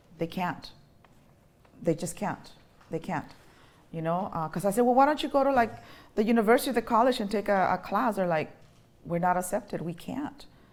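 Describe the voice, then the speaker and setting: Speaking with a Mexican accent, a woman at medium pitch talks at a fairly quick pace with lively intonation and long, frequent pauses. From Mexico. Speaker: college dean of students. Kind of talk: talk to colleagues about personal journey. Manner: halting, many fillers.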